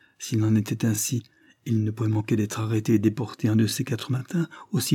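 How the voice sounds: What we hear is a natural reading voice.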